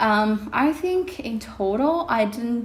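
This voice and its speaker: The speaker has an Indonesian accent and a very slow pace. Noticeable background noise is present. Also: woman. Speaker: vlogger. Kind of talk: casual vlog talk. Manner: hesitant, many fillers.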